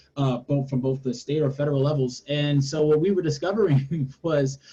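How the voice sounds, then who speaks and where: Somewhat breathy, this man's voice has a dark, mellow tone, fairly high pitch and ordinary pitch variation. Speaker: policy advocate. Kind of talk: webinar panel discussion. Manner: fast; hesitant, many fillers.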